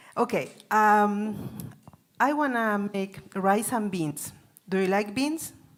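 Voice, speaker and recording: A woman at medium pitch with a Chilean Spanish accent, at a very slow pace and with ordinary pitch variation. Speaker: cooking class presenter. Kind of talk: cooking demonstration. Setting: in-person class with audience. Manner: halting.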